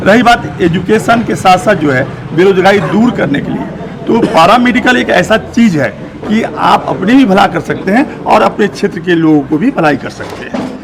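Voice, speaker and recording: A man with a high pitch speaks at a moderate pace. His intonation is lively, with noticeable background noise behind him. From India, Bihar (Darbhanga). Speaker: medical practitioner. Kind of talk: street interview.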